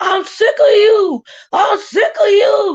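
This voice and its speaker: A put-on character voice shouts in an angry tone at an extremely high pitch. It sounds guttural and moves at a fairly slow pace. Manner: angry, screaming.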